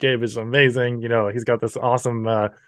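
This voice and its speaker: This man speaks at a medium pitch. He has a slight Canadian accent. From New Brunswick, Canada. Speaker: entrepreneur. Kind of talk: interview.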